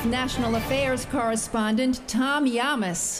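Clear music plays behind a woman who speaks fairly slowly in a high voice. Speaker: voice actor. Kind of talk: live event announcer. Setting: PA system. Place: studio.

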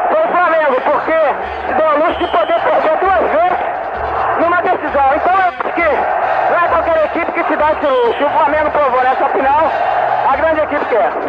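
Loud background noise fills the clip. The talking keeps a moderate pace. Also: man. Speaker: football goalkeeper. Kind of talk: post-match interview answer. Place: stadium. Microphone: handheld.

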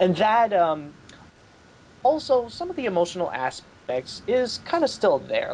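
A man's voice with a slightly husky edge moves in big pitch swings.

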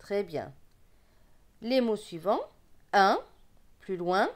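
A woman speaks with very wide pitch swings. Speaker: reading teacher. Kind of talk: tutorial. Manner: slow.

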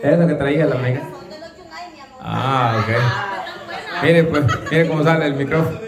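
Crowd noise fills the background as a man speaks at a fairly high pitch and moderate pace. He uses ordinary pitch variation and takes long, frequent pauses. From El Salvador. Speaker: host of a rural singing contest. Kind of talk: casual contest hosting. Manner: animated. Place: hall. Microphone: camera far.

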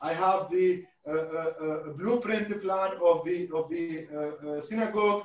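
A man with an Arabic accent speaks very slowly in a high pitch, his intonation fairly even and some room echo audible. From Iraq (Mosul); Iraq. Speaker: historian and event host; event host. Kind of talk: online panel discussion. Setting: video call. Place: home room.

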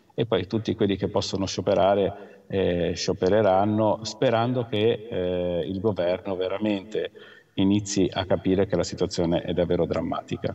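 The man's pitch sits fairly low, his intonation stays fairly even, and his speed is moderate. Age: 50s. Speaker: doctor and union leader. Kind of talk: news interview. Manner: halting. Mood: concerned, critical. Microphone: video call.

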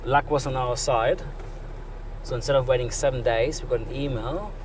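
Against noticeable background noise, a man talks at a fairly quick pace. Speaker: travel vlogger. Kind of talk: casual vlog chat. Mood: cheerful, relieved. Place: car. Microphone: camera far.

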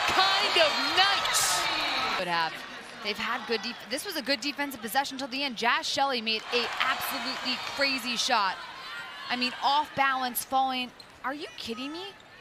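With a raised, projected voice and an animated tone, the speaker talks at a moderate pace with lively intonation and long, frequent pauses over noticeable background noise. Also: woman, high pitch for a woman. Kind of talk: sports commentary. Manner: excitable, animated, rising pitch on big shots.

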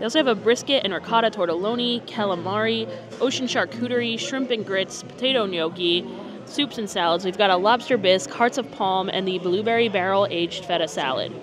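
Music plays behind a woman talking at a fairly quick pace with ordinary pitch variation. The sound is dry, with no echo. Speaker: food vlogger. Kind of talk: casual vlog chat. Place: cafe. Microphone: lapel.

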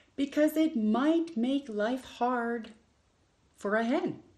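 A woman talks slowly at a fairly high pitch. Her tone is slightly mellow, with ordinary pitch variation.

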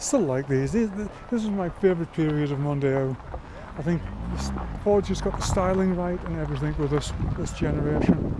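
The speech moves at a fairly quick pace with long, frequent pauses, over noticeable background noise in a dry sound with no echo. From England. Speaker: YouTuber. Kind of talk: vlog walkaround commentary. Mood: relaxed, nostalgic. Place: open country. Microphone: phone near.

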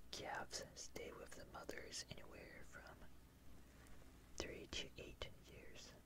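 The voice whispers at a very slow pace with long, frequent pauses. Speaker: ASMR artist. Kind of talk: ASMR fact reading. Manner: whispered. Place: home room. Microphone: studio mic.

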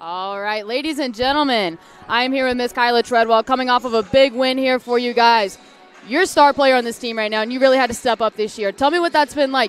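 The speech comes at a very fast pace. Faint music plays in the background. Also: dry sound with no echo. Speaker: student broadcast interviewer. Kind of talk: interview questions. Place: hall. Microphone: headset.

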